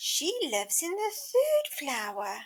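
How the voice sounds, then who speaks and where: Extremely high-pitched, fairly slow put-on character voice from a woman. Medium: read story. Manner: sweet and polite.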